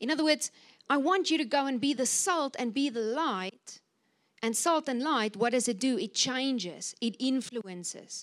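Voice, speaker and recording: This woman has a high pitch and lively intonation. She talks at a moderate pace. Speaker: pastor. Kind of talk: sermon. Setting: church. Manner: animated, excited.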